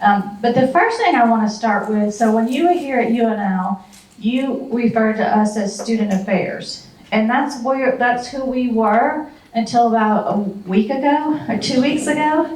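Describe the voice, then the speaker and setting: A woman's fairly high voice with a Southern US accent, a moderate pace, and ordinary pitch variation, with audible room echo and noticeable background noise. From US South. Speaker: university administrator. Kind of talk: talk to a retiree group. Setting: talk with audience, handheld mic.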